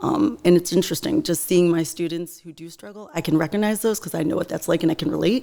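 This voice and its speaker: A woman talks at a very fast pace with hardly any pauses and ordinary pitch variation. Her loudness swings a lot, and there is noticeable background noise. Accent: Western New York. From Buffalo area, New York. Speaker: teacher and small business owner. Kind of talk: interview.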